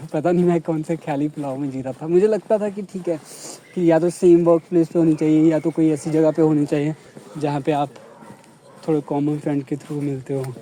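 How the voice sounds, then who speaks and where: With a Punjabi accent, the speaker keeps a moderate pace and fairly even intonation amid noticeable background noise. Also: man, fairly high pitch for a man. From Punjab, India. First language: Punjabi (speaking Hindi). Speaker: vlogger. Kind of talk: casual chat.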